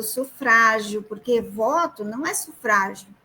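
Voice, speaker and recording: A woman with a Mato Grosso do Sul accent at a very slow pace. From Ceará, Brazil. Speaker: federal prosecutor. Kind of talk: live stream interview. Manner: halting.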